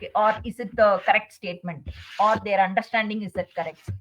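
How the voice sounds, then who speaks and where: Somewhat breathy and medium-pitched, a woman speaks at a moderate pace with fairly even intonation. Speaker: chartered accountant. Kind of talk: webinar presentation. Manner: hesitant, many fillers.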